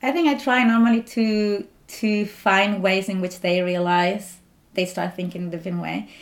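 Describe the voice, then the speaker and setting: At a moderate pace, a woman talks with a strong Spanish accent. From Spain. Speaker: doctoral researcher. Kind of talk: interview.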